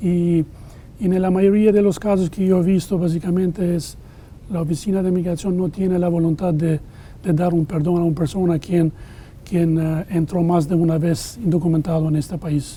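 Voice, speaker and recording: With an Albanian accent, a man speaks at a moderate pace. His voice is high in pitch and monotone, with flat intonation. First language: Albanian (speaking Spanish). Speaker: immigration lawyer. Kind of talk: interview. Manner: halting.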